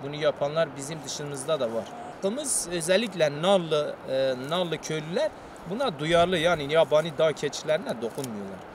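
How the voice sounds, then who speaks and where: A man's lively intonation at a moderate pace, with a dry sound with no echo amid noticeable background noise. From Turkey. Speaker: villager, goat keeper. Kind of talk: casual interview. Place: open country.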